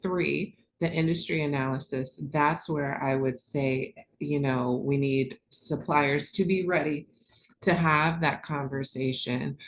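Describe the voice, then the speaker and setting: Very slowly, a woman with an American accent speaks in a very deep, low voice. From US Midwest, Columbus Ohio. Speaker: corporate procurement manager. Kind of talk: webinar presentation.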